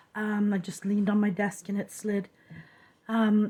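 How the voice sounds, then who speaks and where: A woman's fairly high, somewhat breathy voice with a dark, mellow tone at a moderate pace. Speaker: crafting video creator. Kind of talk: casual craft tutorial. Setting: at a craft desk. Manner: casual, hesitant with fillers.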